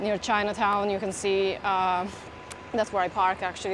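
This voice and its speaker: Flat, monotone intonation at a fairly quick pace. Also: woman. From southern Italy. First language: Italian. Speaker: food video host. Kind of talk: casual chat.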